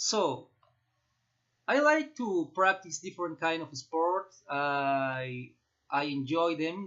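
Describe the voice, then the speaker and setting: Speaking very slowly with a Peruvian accent, a man uses a fairly high voice with ordinary pitch variation. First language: Spanish. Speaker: student vlogger. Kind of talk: class assignment presentation. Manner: halting, with fillers.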